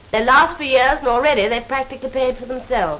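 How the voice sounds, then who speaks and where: A woman talks at a fairly quick pace with a high pitch. Noticeable background noise runs behind her. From England. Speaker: actress playing a housewife. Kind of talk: scripted promotional film dialogue.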